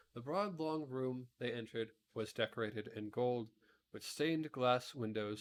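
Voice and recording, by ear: In quiet surroundings, someone reads aloud naturally, the pitch shifting in an ordinary way.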